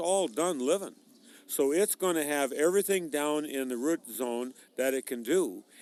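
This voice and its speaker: Recorded with a dry, close sound and no echo, an ordinary speaking voice with an American accent moves at a moderate pace with ordinary pitch variation. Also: man. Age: 60s. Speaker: farmer. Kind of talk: interview.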